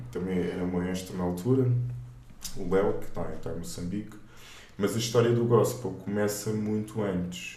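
Speaking at a moderate pace with long, frequent pauses, a man uses a fairly low pitch and fairly even intonation, and audible room echo can be heard. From Portugal, raised from age 4 (born in Luanda, Angola). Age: 30s. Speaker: gospel singer and theology student. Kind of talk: casual interview.

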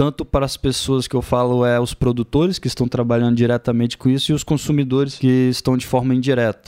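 A man's very fast, medium-pitched voice, monotone and flat, with a dark, mellow tone and a dry, close sound with no echo. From Brazil, Espírito Santo (Aracruz). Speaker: agritech startup founder, agronomist engineer. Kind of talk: interview.

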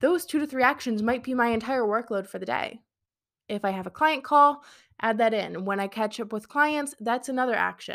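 A woman's fairly high voice, an ordinary speaking voice, with ordinary pitch variation at a moderate pace, on a very clean recording with a silent background. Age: 20s. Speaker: podcast host and business coach. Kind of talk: solo podcast monologue. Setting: live stream on social media. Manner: casual, filler-heavy.

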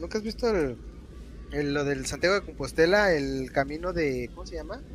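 Amid noticeable background noise, a man with a central Mexican accent talks at a moderate pace. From Guanajuato, Mexico. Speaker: podcast co-host. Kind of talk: casual chat.

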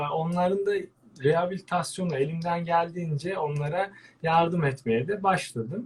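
A man's high voice with ordinary pitch variation. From Turkey, Antalya. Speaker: veterinarian and birdwatcher. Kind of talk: interview. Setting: live online broadcast.

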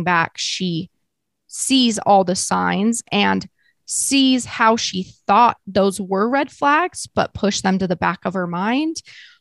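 In a very clean recording with a silent background and a dry, close sound with no echo, a woman with an American accent and an ordinary speaking voice talks at a fairly slow pace in a medium pitch. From US West (Utah). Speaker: podcaster. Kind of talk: casual interview.

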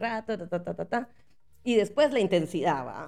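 The intonation here is lively. It belongs to a woman with a medium-pitched voice. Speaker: podcast host. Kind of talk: casual monologue.

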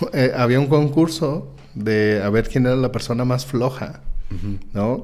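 With a Mexican accent, the speaker talks at a fairly slow pace amid audible room echo. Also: man. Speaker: homeopathy school director and host. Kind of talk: educational live-stream chat. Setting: live video stream. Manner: animated.

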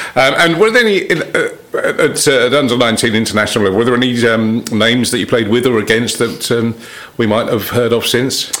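A man with an English accent and medium pitch talks at a fairly quick pace, with fairly even intonation and very even loudness, over noticeable background noise. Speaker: cricket podcast host. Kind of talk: casual interview.

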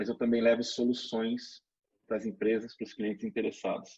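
Speaking in a normal speaking voice, a man holds a medium pitch and keeps his intonation fairly even. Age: 40s. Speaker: retail pricing consultant. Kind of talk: webinar presentation.

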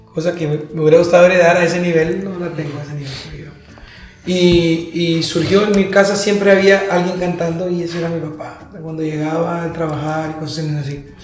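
Amid noticeable background noise and audible room echo, a man speaks fairly quickly in a high pitch with monotone, flat intonation and big swings in loudness. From Honduras, San Pedro Sula. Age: 30s. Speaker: dentist and church musician. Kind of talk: casual chat.

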